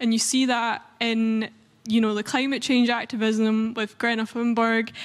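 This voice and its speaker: A woman's fairly high voice in a Scottish accent, monotone and flat at a fairly slow pace, on a very clean recording with a silent background. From Scotland. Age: 20s. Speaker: youth activist. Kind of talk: panel discussion.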